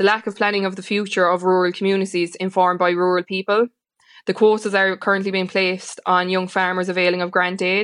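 A woman with an Irish accent speaks very fast in a flat monotone. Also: medium pitch for a woman. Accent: rural Irish (Limerick). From Ireland, County Limerick. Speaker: farming organisation leader. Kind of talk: radio interview.

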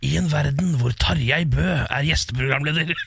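Over light background noise, a man uses a raspy, put-on character voice at a fairly high pitch. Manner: dramatic, deep announcer.

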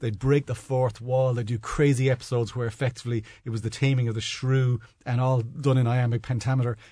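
At a very fast pace, a man speaks in a somewhat breathy voice of medium pitch with monotone, flat intonation. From Dublin, Ireland. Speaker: corporate communications manager. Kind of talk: casual panel chat. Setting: studio.

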